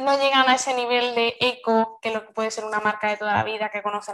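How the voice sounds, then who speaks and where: Fairly quick in pace, a woman speaks at a fairly high pitch. Her intonation stays fairly even. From Seville, Spain. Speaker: marketing agency owner. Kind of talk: casual interview.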